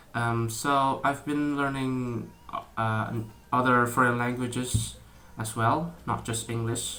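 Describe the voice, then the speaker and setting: A man with an Indonesian accent at a very slow pace, medium pitch, fairly even intonation and a bright, sharp tone, with audible room echo. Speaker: YouTuber. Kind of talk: casual vlog talk. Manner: halting, many fillers and restarts.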